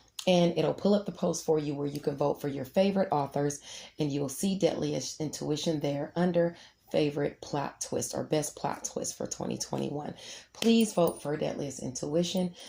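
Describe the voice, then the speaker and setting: Her voice is very deep and low, with a dark, mellow tone and ordinary pitch variation. The woman also shows vocal fry. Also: moderate pace. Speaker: astrologer and author. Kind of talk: horoscope reading with announcements.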